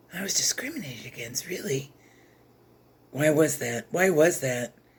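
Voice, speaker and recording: A woman speaks at a moderate pace with a very deep, low pitch and lively intonation. Her loudness swings a lot, and noticeable background noise is present. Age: 60s. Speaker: chess content creator and former teacher. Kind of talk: rant. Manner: animated.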